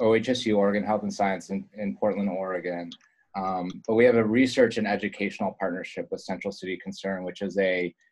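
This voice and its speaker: A man's ordinary speaking voice at a fairly low pitch. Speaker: presenter. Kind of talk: webinar presentation. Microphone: video call.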